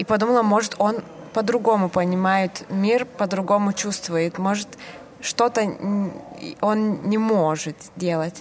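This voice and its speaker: A woman with a Lithuanian accent talks very slowly at a medium pitch, with fairly even intonation and long, frequent pauses. Noticeable background noise runs underneath. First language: Lithuanian (speaking Russian). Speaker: theatre director. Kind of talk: interview. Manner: halting.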